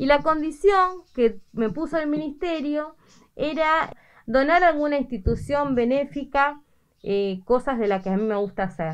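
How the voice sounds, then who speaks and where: In an Argentine accent, a woman speaks at a fairly slow pace with a high pitch and lively intonation. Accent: Rioplatense Argentine Spanish. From Argentina, Buenos Aires province (Carapachay); Buenos Aires province, Argentina. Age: 50s. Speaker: seamstress. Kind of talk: news interview. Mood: pleased, animated. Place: workshop. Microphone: handheld.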